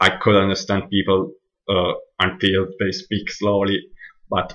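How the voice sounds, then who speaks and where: In an Italian accent, a man speaks with a fairly low pitch and monotone, flat intonation. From Northern Italy, near Milan. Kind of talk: casual monologue, audio recording. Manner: hesitant, many fillers.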